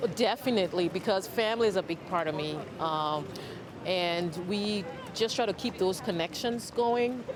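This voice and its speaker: Noticeable background noise sits under a woman's voice. She has a medium pitch, ordinary pitch variation and a moderate pace. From Liberia. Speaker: interviewee. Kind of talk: interview answers.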